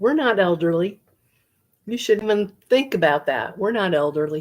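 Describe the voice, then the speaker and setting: An unremarkable speaking voice carries lively intonation at a moderate pace. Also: woman, medium pitch for a woman. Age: 60s. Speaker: knitting and crochet livestreamer. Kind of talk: casual livestream chat reading viewer comments. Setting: livestream at home. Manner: relaxed, chatty.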